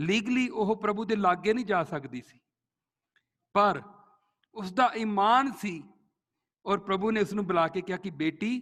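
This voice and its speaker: A man with a high voice and a Punjabi accent speaks with ordinary pitch variation and long, frequent pauses. His loudness swings widely. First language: Punjabi (speaking Hindi). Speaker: pastor. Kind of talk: sermon.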